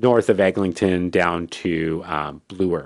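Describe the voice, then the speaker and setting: Against a quiet background, a man speaks with a Canadian accent. His pitch is very deep and low, and his intonation is fairly even. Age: 40s. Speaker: magazine founder and publisher. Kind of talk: interview. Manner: hesitant, with many fillers and restarts.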